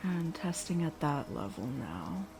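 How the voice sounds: There is music in the background as a woman speaks. Her pace is very slow and her intonation lively.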